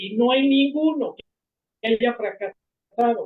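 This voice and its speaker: A high-pitched male voice. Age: 70s. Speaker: retired pediatrician. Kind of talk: video conference conversation. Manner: halting.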